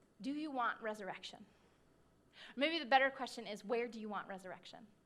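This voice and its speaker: Very fast and swinging widely in loudness, a woman's fairly high voice shows ordinary pitch variation against audible room echo. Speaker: pastor. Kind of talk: sermon.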